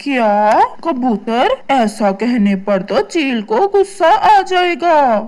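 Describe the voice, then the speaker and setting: In a cartoonish character voice, a female-sounding speaker talks very slowly at a high pitch with very wide pitch swings. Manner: eager.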